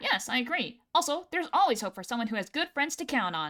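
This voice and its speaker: The speaker uses a put-on character voice at a very fast pace. The pitch swings very widely. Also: woman, high pitch for a woman. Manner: earnest, overacted.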